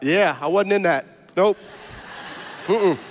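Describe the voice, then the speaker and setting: Speaking at a moderate pace, the man has a high-pitched voice. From US South, South Louisiana (Cajun). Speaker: stand-up comedian and guest preacher. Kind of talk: sermon.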